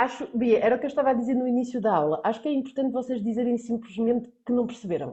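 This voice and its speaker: Talking very fast with hardly any pauses, a woman uses a high pitch and ordinary pitch variation. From central Portugal. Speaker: Portuguese language teacher. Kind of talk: online lesson.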